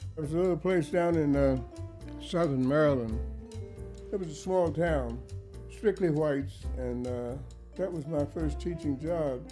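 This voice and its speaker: With music in the background, a man speaks at a fairly slow pace, leaving long, frequent pauses. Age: 80s+. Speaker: duck carver, retired teacher. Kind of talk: oral history interview answer.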